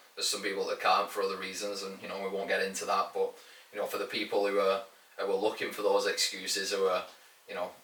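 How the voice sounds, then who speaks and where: A man with a northern English accent at a very fast pace, over noticeable background noise. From northern England. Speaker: fitness coach and podcast co-host. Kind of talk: casual podcast chat.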